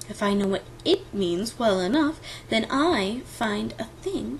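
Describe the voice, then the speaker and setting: A woman's put-on character voice at a fairly slow pace, over clear background noise. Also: medium pitch for a woman. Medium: read story.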